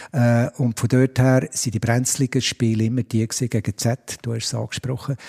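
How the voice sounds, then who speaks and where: Dry and close with no echo, a man speaks at a moderate pace in a medium pitch. His tone is dark, mellow and somewhat breathy, on a very clean recording with a silent background. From Switzerland, Biel. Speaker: stadium announcer. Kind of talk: interview. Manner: hesitant, many fillers.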